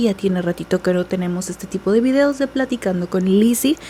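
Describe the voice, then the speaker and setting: Over noticeable background noise, a soft-spoken woman talks at medium pitch with ordinary variation. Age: 20s. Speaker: beauty vlogger. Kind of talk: casual chat. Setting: at home.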